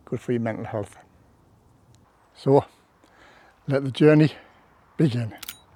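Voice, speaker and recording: The speaker uses fairly even intonation with a British accent. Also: man. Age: 60s. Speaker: hiker and former Royal Marine. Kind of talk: casual talk to camera.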